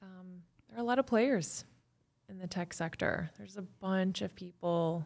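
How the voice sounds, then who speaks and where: Her loudness swings widely as a woman of medium pitch speaks at a moderate pace with ordinary pitch variation. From Chicago suburbs, US Midwest. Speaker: tech saleswoman and activist. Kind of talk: casual interview chat. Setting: studio.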